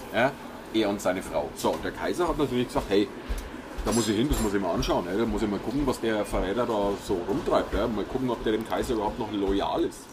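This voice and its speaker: A man talks at a fairly quick pace with a fairly low pitch and ordinary pitch variation. Noticeable background noise can be heard. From Franconia, Nuremberg. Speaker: podcast host. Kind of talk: casual chat.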